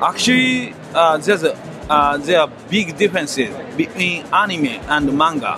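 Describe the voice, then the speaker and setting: With music in the background, a man with a Japanese accent speaks at a high pitch, his intonation lively and his loudness very even. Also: moderate pace. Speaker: manga artist. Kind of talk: interview. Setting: convention.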